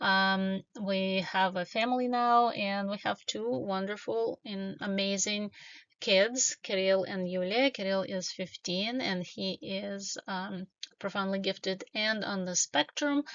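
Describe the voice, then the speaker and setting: Speaking with a Russian accent, a woman keeps a medium pitch and ordinary pitch variation at a very slow pace. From Ukraine, Kiev. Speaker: doctoral student and tech professional. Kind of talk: conference presentation. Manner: hesitant with frequent fillers.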